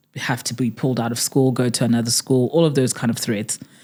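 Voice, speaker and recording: A woman in a very clean recording with a silent background. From South Africa, Port Elizabeth (Eastern Cape). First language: Tswana. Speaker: podcast co-host. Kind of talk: casual chat.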